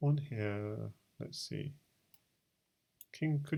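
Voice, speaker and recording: The speaker has a British accent. The pace is very slow. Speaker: chess streamer. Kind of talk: live game commentary. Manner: thinking aloud, hesitant with fillers.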